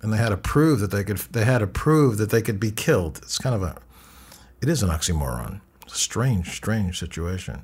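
On a very clean recording with a silent background, a man with a plain, everyday voice speaks at a moderate pace and fairly low pitch. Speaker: radio interviewer and journalist. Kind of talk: radio interview. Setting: studio.

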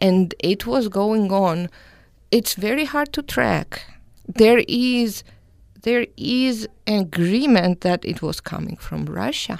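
A woman with a Georgian accent, medium in pitch, with lively intonation at a very slow pace, in a very clean recording with a silent background. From Georgia (country). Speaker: postdoctoral scholar in journalism. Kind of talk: panel discussion.

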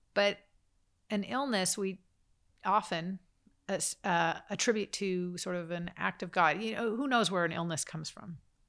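A woman's passionate voice at medium pitch, with ordinary pitch variation, a moderate pace and long, frequent pauses, in a very clean recording with a silent background. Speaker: immigration advocate. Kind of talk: interview.

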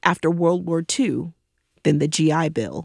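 Recorded very cleanly against a silent background with a dry, close sound and no echo, a woman speaks at a fairly slow pace in an unremarkable speaking voice. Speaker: podcast host. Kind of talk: scripted narration.

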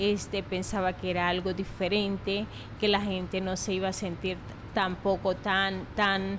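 This woman talks at a fairly slow pace. Her pitch sits in the medium range. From Venezuela. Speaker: restaurant owner. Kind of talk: interview.

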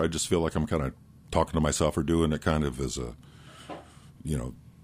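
A man's very deep, low voice carries vocal fry and ordinary pitch variation. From Iowa. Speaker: radio morning host and musician. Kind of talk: casual chat. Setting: studio.

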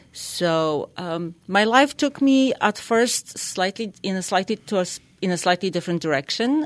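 With a Polish accent, a woman talks at a fairly slow pace with lively intonation, a medium pitch and hardly any pauses, on a very clean recording with a silent background. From Poland. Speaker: equine therapy life coach. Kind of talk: radio interview.

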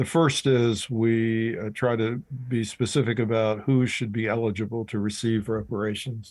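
At a moderate pace with hardly any pauses, a man talks in a plain, everyday voice, medium in pitch, with fairly even intonation. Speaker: professor and author. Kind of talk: interview.

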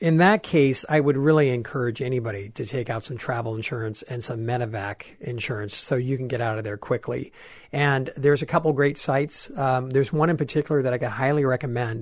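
A man talks with hardly any pauses, with ordinary pitch variation, in an ordinary speaking voice. The background is quiet. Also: medium pitch for a man, fairly quick pace. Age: 40s. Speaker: travel expert and tour leader. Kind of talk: radio interview.

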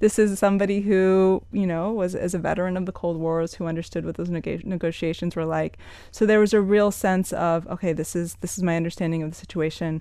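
A woman talks at a very fast pace with an American accent. Her fairly low voice has a dark, mellow tone and monotone, flat intonation. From Miami, Florida (Cuban American). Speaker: author and activist. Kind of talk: interview.

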